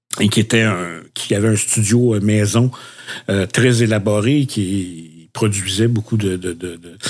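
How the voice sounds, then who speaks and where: Fairly slow and fairly low-pitched, a man speaks with fairly even intonation and big swings in loudness. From Quebec, Repentigny. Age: 60s. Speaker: podcast co-host. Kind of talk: casual chat. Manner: halting, many fillers.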